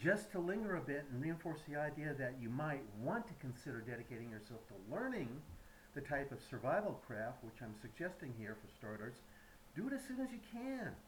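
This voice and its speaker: Amid audible room echo, a man speaks at a fairly quick pace in a fairly high, somewhat breathy voice with very wide pitch swings. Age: 70s. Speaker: YouTube commentator. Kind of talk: prepared monologue. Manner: halting.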